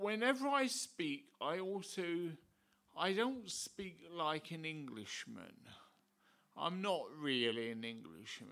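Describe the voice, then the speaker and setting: Audible room echo surrounds a man who speaks very slowly in a bright, sharp tone with very wide pitch swings. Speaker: visiting preacher and ordained priest. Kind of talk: sermon.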